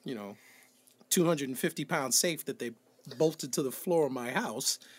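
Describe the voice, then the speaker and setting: A fairly high-pitched man with an American accent, at a moderate pace, with ordinary pitch variation. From New Bedford, Massachusetts. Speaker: music director and producer. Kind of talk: interview.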